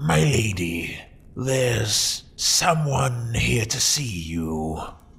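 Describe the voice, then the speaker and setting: A man puts on a character voice at medium pitch, speaking at a very slow pace. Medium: audio drama. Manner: deferential.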